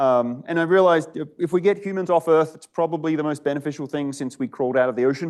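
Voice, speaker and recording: A man's fairly high voice with an Australian accent, very fast, with ordinary pitch variation and big swings in loudness. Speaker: startup founder and CEO. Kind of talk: startup pitch talk to a live audience. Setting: event with live audience. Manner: casual, conversational.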